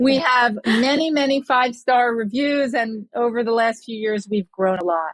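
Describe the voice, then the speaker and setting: Here is a woman with an unremarkable speaking voice. Her pitch is fairly high and varies in an ordinary way. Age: 60s. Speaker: entrepreneur. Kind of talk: interview. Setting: podcast.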